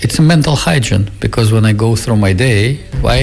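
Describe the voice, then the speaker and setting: A man with a Russian accent talks at a fairly quick pace and fairly low pitch. Music plays in the background, and audible room echo is present. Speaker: Buddhist teacher. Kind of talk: radio interview.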